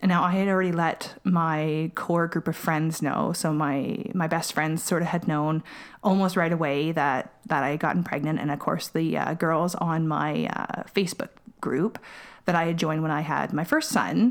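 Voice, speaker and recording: At a moderate pace, a woman with an unremarkable speaking voice and a fairly low pitch talks in a very clean recording with a silent background. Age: 30s. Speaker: mother sharing pregnancy loss story. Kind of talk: testimony.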